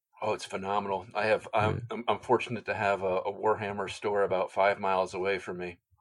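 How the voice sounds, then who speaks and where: Speaking very fast with hardly any pauses, a man uses a fairly low pitch and monotone, flat intonation. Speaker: customizer.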